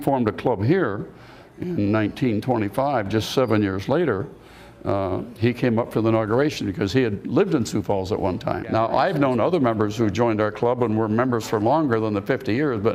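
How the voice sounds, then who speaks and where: Noticeable background noise sits behind a man at a medium pitch with ordinary pitch variation. He talks at a fairly quick pace and keeps his loudness very even. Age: 80s+. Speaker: service club member. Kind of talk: interview.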